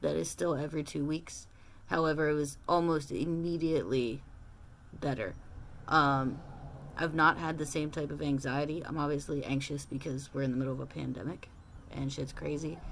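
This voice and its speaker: A woman's very deep, low voice with vocal fry and ordinary pitch variation, at a moderate pace, with audible room echo. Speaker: transition vlogger. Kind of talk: casual personal vlog. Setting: at home in small apartment. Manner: hesitant, many filler words.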